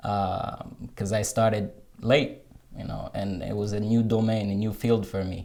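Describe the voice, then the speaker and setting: With an American accent, the speaker talks at a moderate pace in a monotone, flat intonation over noticeable background noise. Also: man, fairly low pitch for a man. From Morocco, Rabat. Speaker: software developer, digital nomad. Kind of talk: interview. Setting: coworking space. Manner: halting, frequent fillers and repeats.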